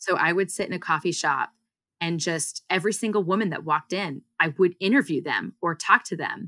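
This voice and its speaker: A woman with a bright, sharp tone and fairly low pitch speaks with ordinary pitch variation on a very clean recording with a silent background and a dry, close sound with no echo. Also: fairly quick pace. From US, partly Singapore. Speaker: startup founder and CEO. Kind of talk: interview.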